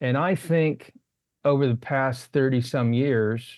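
This man has an unremarkable speaking voice at medium pitch. He talks at a fairly slow pace with ordinary pitch variation. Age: 60s. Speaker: novelist and poet. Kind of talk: casual interview.

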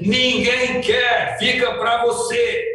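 In a raised, projected voice at an extremely high pitch, a man speaks with fairly even intonation amid audible room echo. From Brazil, rural countryside. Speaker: company president, sales trainer. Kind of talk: motivational sales training. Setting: outdoors at his family farm. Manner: emphatic.

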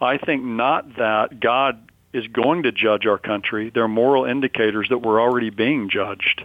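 A man with an ordinary speaking voice at a medium pitch, a moderate pace, fairly even intonation and hardly any pauses. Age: 60s. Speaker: seminary professor and pastor, Bible prophecy author. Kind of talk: radio interview.

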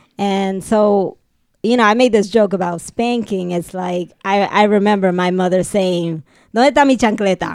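A woman uses a normal speaking voice at a medium pitch, talking at a moderate pace with ordinary pitch variation. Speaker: podcast host. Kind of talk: casual chat.

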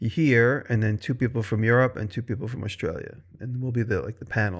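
A man's medium-pitched, unremarkable speaking voice with ordinary pitch variation, fairly quick in pace, on a very clean recording with a silent background. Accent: American. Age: 50s. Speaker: maker and video creator. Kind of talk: casual chat.

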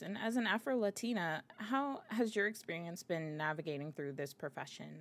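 A woman with an unremarkable speaking voice and an American accent, medium in pitch, with lively intonation at a moderate pace. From Miami, Florida. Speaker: podcast host. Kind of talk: interview.

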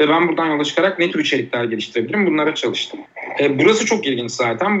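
A man's voice over noticeable background noise. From Turkey, Uşak. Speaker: art teacher and social entrepreneur. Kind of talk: podcast interview.

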